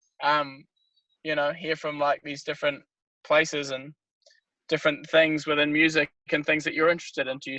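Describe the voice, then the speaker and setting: A man with a New Zealand accent talks at a fairly quick pace with a fairly high pitch and a bright, sharp tone. He leaves long, frequent pauses. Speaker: band member. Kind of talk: casual chat.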